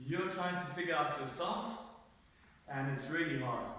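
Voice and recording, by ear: A man's fairly high-pitched voice with a bright, sharp tone, ordinary pitch variation and a moderate pace, in strong room echo.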